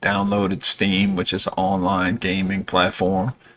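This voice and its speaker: With a plain, everyday voice, a man talks at a moderate pace and a fairly low pitch. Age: 60s. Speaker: gamer and YouTuber. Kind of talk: casual update vlog. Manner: relaxed with many fillers.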